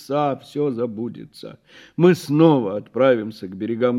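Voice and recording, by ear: The pitch moves in an ordinary way as a speaker is reading aloud in a natural voice.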